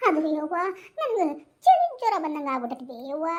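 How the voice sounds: Using a cartoonish character voice, a woman speaks squeaky and at an extremely high pitch, keeping a fairly slow pace.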